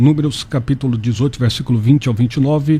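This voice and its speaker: A man talks at a very fast pace and a medium pitch, somewhat breathy. His tone is dark and mellow, his intonation fairly even. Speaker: pastor. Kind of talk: radio debate.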